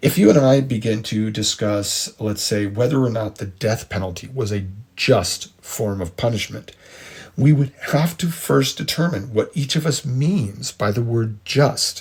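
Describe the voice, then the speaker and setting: This man has a medium pitch and an American accent, speaking at a fairly slow pace. His intonation is lively and his voice is somewhat breathy. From United States. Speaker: podcast host, history and philosophy lecturer. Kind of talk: lecture. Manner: measured, explanatory.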